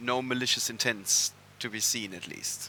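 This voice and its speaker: This man's voice has a bright, sharp tone and fairly even intonation. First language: German. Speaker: esports commentator. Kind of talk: live commentary.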